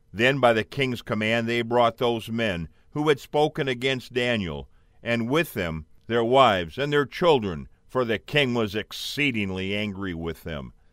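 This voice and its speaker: In a very clean recording with a silent background, a man with a normal speaking voice talks at a fairly slow pace, his medium pitch carrying lively intonation. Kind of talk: audiobook reading aloud. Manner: steady, measured narration; solemn, earnest storytelling tone.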